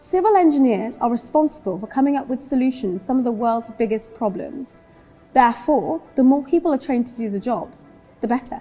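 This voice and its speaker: A woman with a high pitch and lively intonation speaks at a fairly quick pace, her loudness swinging widely, with music in the background. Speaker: TV presenter. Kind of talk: documentary presenting to camera.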